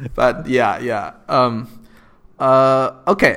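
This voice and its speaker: A man is speaking. He has a non-native accent. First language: not English. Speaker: podcast host. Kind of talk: interview.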